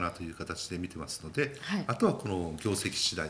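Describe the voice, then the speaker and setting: A man speaks with a bright, sharp tone and vocal fry. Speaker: market strategist guest. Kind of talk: market commentary explanation on TV.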